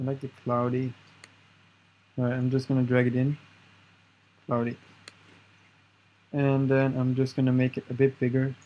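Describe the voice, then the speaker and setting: With a non-native accent, the speaker uses monotone, flat intonation broken by long, frequent pauses. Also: man, medium pitch for a man, moderate pace. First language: not English. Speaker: tech tutorial youtuber. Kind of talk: screen-recorded tutorial. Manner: casual, halting with repetitions.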